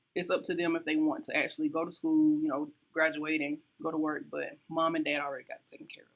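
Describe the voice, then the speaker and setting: With a South Carolina accent, a woman talks at a very fast pace, her loudness swinging widely. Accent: Southern US (South Carolina). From US South, South Carolina. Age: 30s. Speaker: entrepreneur and lifestyle coach. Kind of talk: podcast interview.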